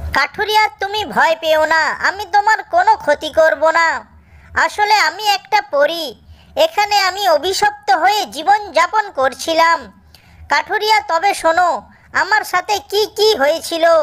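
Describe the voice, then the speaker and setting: A female-sounding cartoonish character voice goes extremely high in pitch at a fairly slow pace. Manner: soft, earnest.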